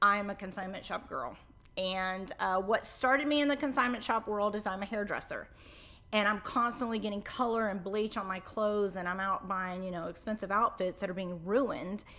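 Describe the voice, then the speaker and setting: A woman with a slight Southern US accent speaks in a bright, sharp, animated tone at medium pitch, with ordinary pitch variation. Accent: Southern US accent, mild drawl. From central Florida. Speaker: hairdresser and show co-host. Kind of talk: casual interview.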